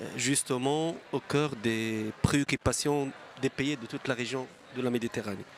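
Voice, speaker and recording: A man speaks at a medium pitch and moderate pace with fairly even intonation. Noticeable background noise can be heard. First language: French or Arabic, not English. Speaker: government energy official. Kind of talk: conference panel talk.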